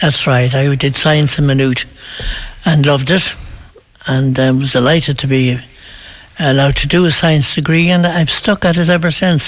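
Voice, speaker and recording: With an Irish accent, a man speaks at a moderate pace in a fairly high pitch, with fairly even intonation and very even loudness. Long, frequent pauses break up his speech, and noticeable background noise runs underneath. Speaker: local priest. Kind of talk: casual interview.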